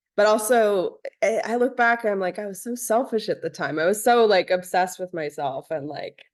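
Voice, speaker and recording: Using an unremarkable speaking voice, a woman with an American accent talks at a medium pitch and a moderate pace with hardly any pauses. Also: lively intonation. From New Jersey, near New York City. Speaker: musician and dancer. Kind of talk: casual interview chat.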